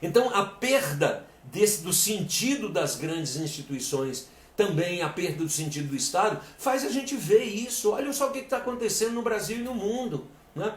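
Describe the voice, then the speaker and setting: Over audible room echo, a man with a high pitch talks at a moderate pace, his pitch swinging very widely. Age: 60s. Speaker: lecturer and coach. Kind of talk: live-stream lecture. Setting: live stream. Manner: halting, repeats words.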